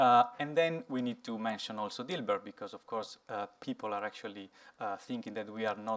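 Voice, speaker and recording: On a very clean recording with a silent background, a man with an Italian accent speaks with fairly even intonation. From Italy. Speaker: software engineer, conference speaker. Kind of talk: conference talk. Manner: halting, many fillers.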